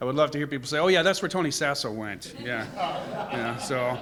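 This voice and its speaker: A loud man with an American accent talks at a fairly quick pace, his fairly high voice bright and sharp in tone. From Connecticut, US Northeast. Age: 60s. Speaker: travel speaker, Air Force veteran. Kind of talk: presentation to a club.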